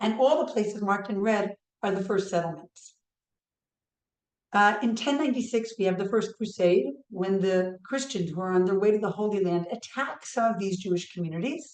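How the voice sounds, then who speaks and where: Talking at a fairly quick pace, a woman uses a medium pitch with ordinary pitch variation. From New York. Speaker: history professor. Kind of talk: lecture.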